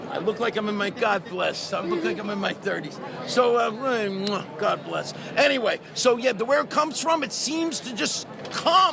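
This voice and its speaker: Over crowd noise and audible room echo, a man projects a raised voice at a high pitch. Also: lively intonation, moderate pace. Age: 60s. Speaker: voice actor. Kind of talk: convention interview.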